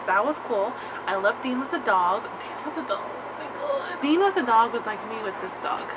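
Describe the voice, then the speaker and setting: A woman's fairly high voice, full of very wide pitch swings, comes through noticeable background noise and audible room echo. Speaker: vlogger reviewing a TV show. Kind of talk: casual vlog review. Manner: fast; animated.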